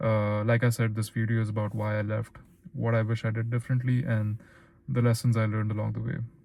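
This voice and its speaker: A man speaks very fast with an Indian accent, at a medium pitch. His tone is dark and mellow, and his intonation stays monotone and flat. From Philippines. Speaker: YouTuber, former stockbroker. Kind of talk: personal vlog monologue.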